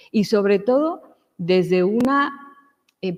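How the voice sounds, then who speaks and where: A woman speaks in a Mexican accent at a medium pitch. Her pitch swings very widely. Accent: Mexican, noticeable. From Mexico. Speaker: lecturer. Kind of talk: lecture. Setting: church hall with audience.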